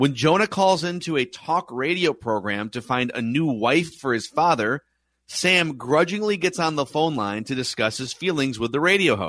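An unremarkable speaking voice from a man, fairly high in pitch, with lively intonation, a moderate pace and a quiet background. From Minnesota. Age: 30s. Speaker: podcast host. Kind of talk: casual chat.

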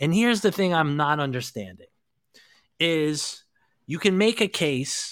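In a very clean recording with a silent background, an unremarkable speaking voice moves at a moderate pace with lively intonation. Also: man. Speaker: podcast host. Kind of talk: casual sports chat.

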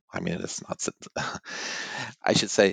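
Recorded dry and close with no echo, a man talks at a moderate pace. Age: 50s. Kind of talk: interview. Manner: halting, many fillers.

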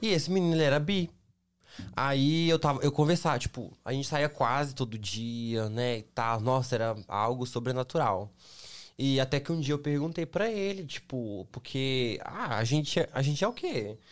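Lively intonation from a man with a fairly high pitch, in a very clean recording with a silent background. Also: moderate pace. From Brazil, Minas Gerais (Belo Horizonte). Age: 20s. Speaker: model and influencer. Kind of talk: casual chat. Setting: studio.

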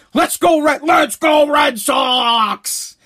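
The man's tone is bright and sharp. He sounds animated. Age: 40s. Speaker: podcast host and radio personality. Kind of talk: casual monologue, conservative talk. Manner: animated, rambling.

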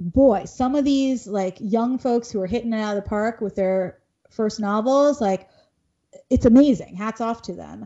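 A woman's fairly high voice with an American accent, an unremarkable speaking voice at a moderate pace with ordinary pitch variation. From Bengali diaspora, US. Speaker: children's author and pediatrician. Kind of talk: casual interview.

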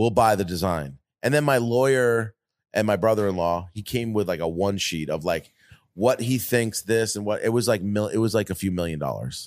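This man has an American accent and a fairly low pitch, with ordinary pitch variation at a moderate pace. The recording is very clean, with a silent background. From Long Island, New York. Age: 40s. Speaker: designer and entrepreneur. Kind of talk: casual chat.

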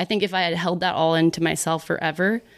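A monotone, flat delivery in an American accent at a fairly quick pace, on a very clean recording with a silent background. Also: woman. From Texas, Dallas. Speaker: YouTuber and director. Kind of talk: casual chat.

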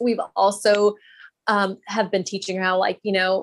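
A woman with an American accent at a medium pitch and moderate pace, the sound dry and close with no echo. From Texas. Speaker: Montessori teacher and school owner. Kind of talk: casual interview.

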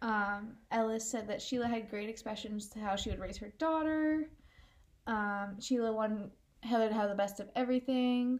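With an unremarkable speaking voice at a fairly high pitch, a woman talks at a moderate pace, showing ordinary pitch variation and big swings in loudness. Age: 20s. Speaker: true crime podcast co-host. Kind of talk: casual chat, narrating a crime case.

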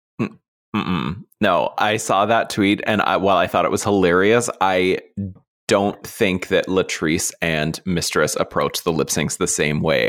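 A man talks at a fairly slow pace. His loudness stays very even. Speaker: entertainment podcast host. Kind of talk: casual chat. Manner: animated.

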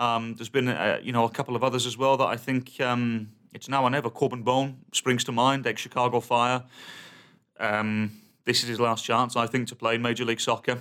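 A man with a British accent, medium in pitch, in a monotone, flat intonation. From England. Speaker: soccer podcast co-host. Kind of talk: casual chat.

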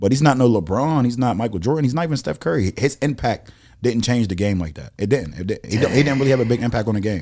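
A man talks at a very fast pace with an American accent, his medium-pitched voice dark and mellow. Vocal fry runs through his speech. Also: lively intonation. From Pittsburgh, Pennsylvania. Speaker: rapper. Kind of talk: casual chat.

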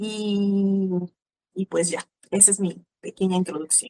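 A woman at a very slow pace, with a dry, close sound and no echo. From Mexico. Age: 30s. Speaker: church teacher. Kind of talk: interview.

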